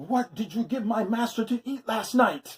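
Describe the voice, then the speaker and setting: A fairly high put-on character voice is used here. It moves at a moderate pace. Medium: read story.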